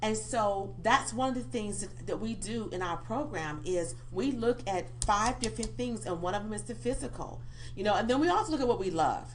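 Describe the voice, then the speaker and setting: Amid noticeable background noise and audible room echo, a woman talks in an animated tone at a moderate pace with hardly any pauses. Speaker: pastor and life coach. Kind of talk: radio interview, personal testimony.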